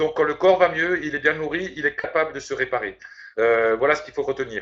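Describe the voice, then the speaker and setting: Here a man speaks fairly quickly, his pitch fairly high. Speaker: network marketing presenter. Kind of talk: sales pitch. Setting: video conference. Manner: fast.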